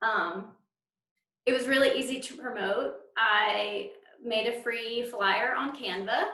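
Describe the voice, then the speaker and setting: In a Southern accent, a woman with a high pitch speaks at a very slow pace with fairly even intonation and long, frequent pauses, in audible room echo. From North Carolina, US South. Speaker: librarian presenting at a conference. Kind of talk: conference presentation.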